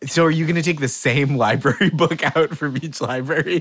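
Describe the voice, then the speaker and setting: An unremarkable speaking voice, delivered at a moderate pace in an American accent. The intonation is lively. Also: man. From Boston area, US. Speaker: comedian and game show host. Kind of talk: casual comedy game show banter.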